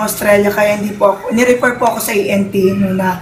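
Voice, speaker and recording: Noticeable background noise runs under the recording. The speaker keeps a moderate pace. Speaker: product testimonial giver. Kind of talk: testimony. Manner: halting.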